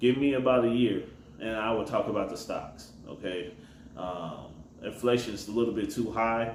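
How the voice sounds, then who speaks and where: With an American accent, a man of medium pitch and ordinary pitch variation talks at a moderate pace amid noticeable background noise and audible room echo. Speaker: rideshare driver and gig economy vlogger. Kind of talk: casual advice monologue. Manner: mumbling.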